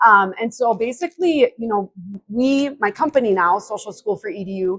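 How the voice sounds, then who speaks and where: A woman with a strong Wisconsin accent and a fairly high pitch, at a moderate pace, with lively intonation and big swings in loudness. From Wisconsin (New Auburn). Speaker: social media consultant, business owner. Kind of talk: interview conversation. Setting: conference hotel.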